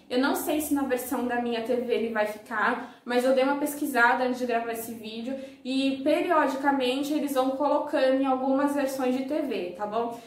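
In a room with audible echo and noticeable background noise, a woman speaks at a moderate pace with a high pitch and fairly even intonation. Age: 20s. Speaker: YouTuber. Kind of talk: casual vlog review.

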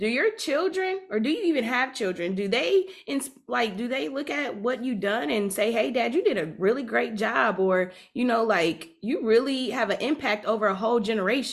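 A woman with a fairly high pitch talks with very wide pitch swings and hardly any pauses. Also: moderate pace. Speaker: podcast co-host. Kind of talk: casual interview. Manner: laughs often.

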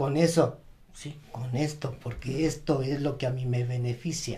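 Audible room echo surrounds a man speaking at a fairly slow pace. His fairly high voice is somewhat breathy, with fairly even intonation. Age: 60s. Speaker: retired banker. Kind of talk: casual chat.

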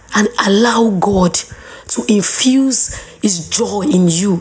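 Noticeable background noise sits behind a woman speaking. Her pitch is medium and varies in an ordinary way. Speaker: faith podcast host. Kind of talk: devotional talk. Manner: warm, conversational.

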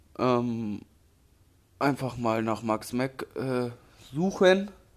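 On a very clean recording with a silent background, a man speaks at medium pitch with lively intonation. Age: 20s. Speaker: graffiti artist and true crime YouTuber. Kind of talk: casual vlog monologue. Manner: casual slangy.

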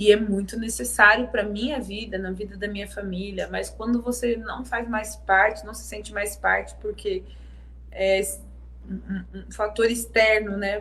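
Big swings in loudness mark a woman's fairly slow speech, heard with audible room echo. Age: 30s. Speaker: singer and songwriter. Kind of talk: casual interview. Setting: live-streamed video interview.

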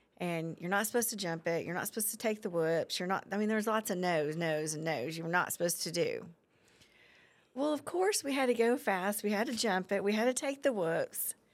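A woman's plain, everyday voice at medium pitch, with lively intonation, an American accent and a fairly quick pace. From Oklahoma, Guthrie. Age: 40s. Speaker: community member. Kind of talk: casual interview.

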